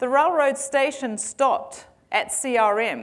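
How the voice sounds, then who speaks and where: A woman with a New Zealand accent speaks with lively intonation. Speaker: tech company founder and CEO. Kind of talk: conference keynote. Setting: stage with audience. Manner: hesitant with fillers.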